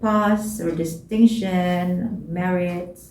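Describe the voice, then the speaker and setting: A dark, mellow, somewhat breathy tone with fairly even intonation and audible room echo. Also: woman. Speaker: student vlogger. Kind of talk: advice vlog. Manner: halting, many fillers.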